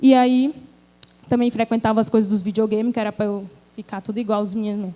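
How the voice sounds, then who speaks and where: A woman speaks quite fast in a fairly high pitch with fairly even intonation. Her tone is dark and mellow. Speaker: speaker at a church women's event. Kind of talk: church talk, personal testimony.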